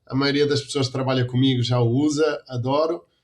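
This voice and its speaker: A man talks at a medium pitch with a European Portuguese accent. His intonation is monotone and flat. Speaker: dairy quality consultant and lecturer. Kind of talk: interview.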